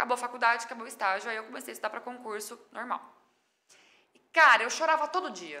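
A woman talks at a very fast pace with a fairly high pitch and lively intonation. Her loudness swings widely, broken by long, frequent pauses. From Brazil, São Paulo state (Mirassol). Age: 30s. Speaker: chef and digital influencer. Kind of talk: podcast interview.

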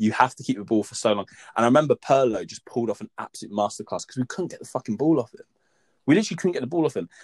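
In a dry, close recording with no echo, a man of medium pitch speaks very fast with an English accent, his loudness rising and falling sharply. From England. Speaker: podcast co-host. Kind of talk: casual chat.

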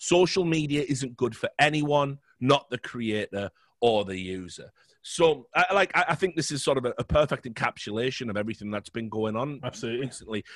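A man with a British accent talks at a fairly quick pace with lively intonation and a medium pitch. The sound is dry and close, with no echo. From Britain. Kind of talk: casual chat. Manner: animated.

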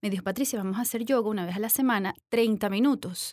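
The recording is very clean, with a silent background and a dry, close sound with no echo. A woman with an unremarkable speaking voice talks at a medium pitch with ordinary pitch variation. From Venezuela. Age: 40s. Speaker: yoga instructor and business owner. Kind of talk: interview.

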